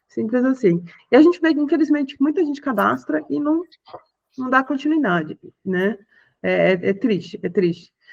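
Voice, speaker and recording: Long, frequent pauses at a moderate pace. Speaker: software presenter. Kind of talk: product demo on video call.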